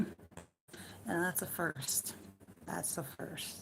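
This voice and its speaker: Very slow and relaxed, a woman with an American accent speaks at a very deep, low pitch with vocal fry. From United States. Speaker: live streamer. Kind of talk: casual chat. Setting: at home.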